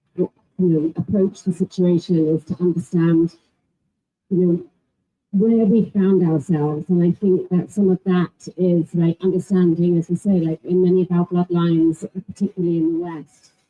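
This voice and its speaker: A somewhat breathy woman with an English accent, fairly low pitch, flat monotone intonation, and a moderate pace. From England. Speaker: panelist. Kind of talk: panel discussion.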